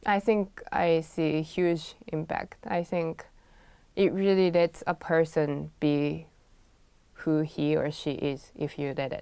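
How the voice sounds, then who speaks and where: With a Japanese accent, a woman speaks at a very slow pace in a fairly low, dark, mellow tone with ordinary pitch variation, on a very clean recording with a silent background. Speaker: pianist and music teacher. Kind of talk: interview.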